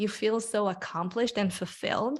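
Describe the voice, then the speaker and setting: With a non-native accent, a woman speaks at a fairly high pitch with ordinary pitch variation in a very clean recording with a silent background. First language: not English. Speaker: career coach and author. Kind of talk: podcast interview. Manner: animated.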